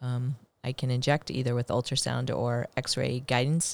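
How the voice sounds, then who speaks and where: A woman speaks with an American accent in a very deep, low voice. Her intonation is flat and monotone. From Blue Springs, Missouri, near Kansas City. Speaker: physician, rehabilitation specialist, podcast co-host. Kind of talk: casual chat.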